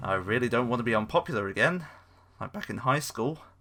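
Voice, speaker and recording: Music plays behind a man's voice. His pitch swings very widely. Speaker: gaming YouTuber. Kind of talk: scripted game review narration; casual outro thanks. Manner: stuttering in places.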